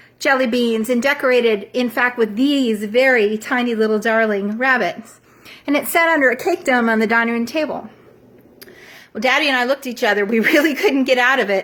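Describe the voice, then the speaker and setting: Speaking at a fairly quick pace in a Southern US accent, a woman uses a high pitch with ordinary pitch variation. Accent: Southern American. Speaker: storyteller. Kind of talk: personal storytelling to camera.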